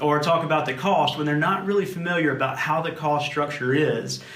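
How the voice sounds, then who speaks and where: A man at a fairly high pitch speaks in a South Louisiana accent, with audible room echo and noticeable background noise. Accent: South Louisiana drawl. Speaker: insurance agency manager. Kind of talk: webinar presentation. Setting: video recording with camera operator.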